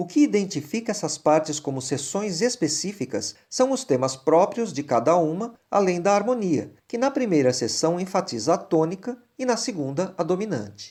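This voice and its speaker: At a moderate pace and with hardly any pauses, a dark, mellow tone moves through very wide pitch swings on a very clean recording with a silent background. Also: man, high pitch for a man. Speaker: singing teacher and singer. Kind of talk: scripted music analysis lecture. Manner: formal.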